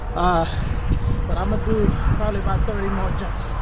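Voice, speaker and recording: Over loud background noise, a man at a fairly quick pace. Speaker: fitness vlogger. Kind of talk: casual workout vlog chat. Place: street.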